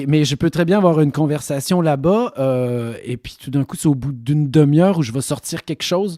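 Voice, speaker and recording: Speaking at a moderate pace with hardly any pauses, a man with a fairly high pitch and ordinary pitch variation sounds dry and close, with no echo. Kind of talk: casual conversational.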